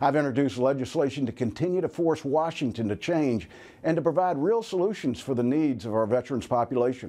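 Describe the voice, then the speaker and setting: A man with an American accent, fairly high in pitch, with a dark, mellow tone, lively intonation, very even loudness and a very fast pace. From North Carolina, USA. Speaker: US senator. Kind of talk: political weekly address.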